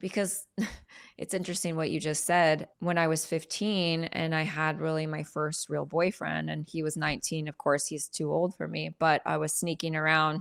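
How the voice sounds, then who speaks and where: A woman speaks at a moderate pace with a very deep, low pitch and fairly even intonation. The recording is very clean, with a silent background. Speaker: image and identity strategist. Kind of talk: interview testimony. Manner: direct.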